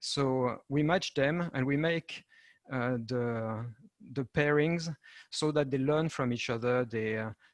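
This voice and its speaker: Recorded dry and close with no echo, a man with a French accent speaks at a fairly slow pace and a medium pitch, with ordinary pitch variation. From France. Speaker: European project manager and entrepreneur. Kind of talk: panel presentation. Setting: video call. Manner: halting, many fillers.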